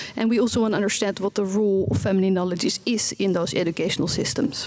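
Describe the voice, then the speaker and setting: A woman speaks very fast at a medium pitch with ordinary pitch variation and very even loudness over noticeable background noise. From Netherlands. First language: Dutch. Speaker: researcher and parent. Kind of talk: conference presentation. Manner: halting, many fillers.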